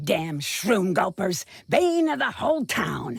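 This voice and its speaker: A growling, put-on character voice at a middle pitch and a fairly slow pace. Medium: video game. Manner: curt, sarcastic, impatient.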